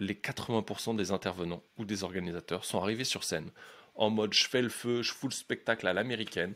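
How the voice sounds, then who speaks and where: Speaking fairly quickly in a bright, sharp tone, a man with a fairly low pitch shows ordinary pitch variation on a very clean recording with a silent background. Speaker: life coach and podcaster. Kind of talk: podcast monologue. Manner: fast; energetic, casual.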